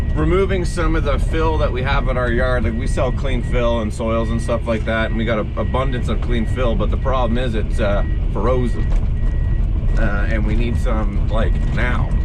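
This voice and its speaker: Music plays in the background. The speech moves at a moderate pace with very even loudness. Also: man. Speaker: heavy equipment operator. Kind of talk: casual talk to camera, work vlog.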